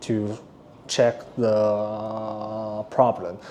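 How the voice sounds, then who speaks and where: A man with a non-native accent. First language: not English. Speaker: company product presenter. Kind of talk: product tutorial. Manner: halting; casual.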